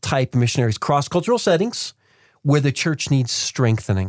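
A somewhat breathy voice at a moderate pace, in a very clean recording with a silent background. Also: man, dry, close sound with no echo. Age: 40s. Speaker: podcast host and missions coach. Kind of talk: podcast interview. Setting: studio.

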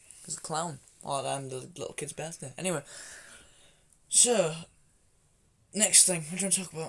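With a Yorkshire accent, a man speaks at a moderate pace with ordinary pitch variation and long, frequent pauses. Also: fairly high pitch for a man. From Yorkshire, England. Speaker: podcast co-host. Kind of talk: casual chat.

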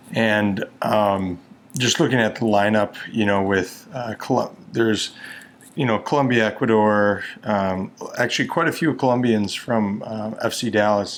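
At a fairly slow pace, a man with a fairly low pitch talks with ordinary pitch variation. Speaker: podcast guest, soccer fan. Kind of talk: casual chat.

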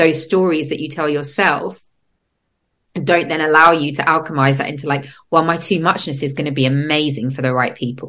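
A woman with a very deep, low pitch and an English accent, at a very fast pace. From England. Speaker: podcast host and breathwork facilitator. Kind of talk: casual interview chat. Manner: animated.

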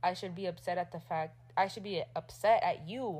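The speaker's voice carries vocal fry and ordinary pitch variation. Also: woman. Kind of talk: casual chat. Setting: home recording.

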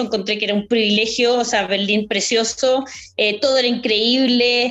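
A woman talks at a high pitch. Her pace is moderate. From Chile. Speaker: amateur marathon runner. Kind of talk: casual chat.

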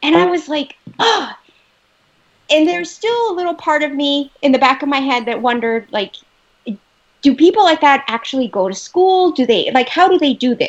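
A woman's high voice with an American accent, very wide pitch swings, and a moderate pace. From US, Los Angeles. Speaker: teacher and author. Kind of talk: casual interview.

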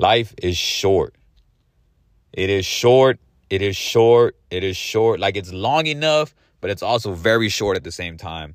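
An animated man, fairly low in pitch, with lively intonation and a fairly slow pace, on a very clean recording with a silent background. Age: 30s. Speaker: solo podcaster. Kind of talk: casual monologue.

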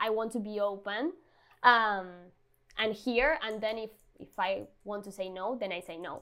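Someone with a Spanish accent speaks on a very clean recording with a silent background. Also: woman. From Argentina, Buenos Aires. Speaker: designer. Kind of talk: interview.

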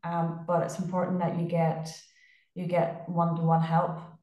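With a dark, mellow tone and a somewhat breathy quality, a woman speaks at a fairly low pitch. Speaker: physiotherapist. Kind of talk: casual chat.

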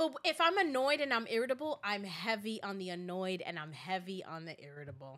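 A woman speaks in an animated, bright, sharp tone at a medium pitch, her voice making very wide pitch swings. She moves at a fairly quick pace with hardly any pauses. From New York. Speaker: podcast co-host. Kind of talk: casual chat.

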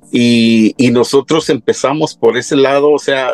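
Music plays in the background. The sound is dry and close with no echo. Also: man. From Mexico, Michoacán (Tacámbaro), moved to US young. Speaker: singer. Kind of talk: casual interview. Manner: hesitant, many fillers.

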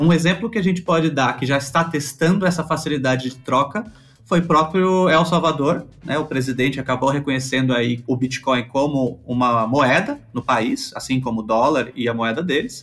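With music in the background, a man speaks at a moderate pace with hardly any pauses, at a fairly high pitch and with ordinary pitch variation. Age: 30s. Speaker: crypto community manager. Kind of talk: casual chat.

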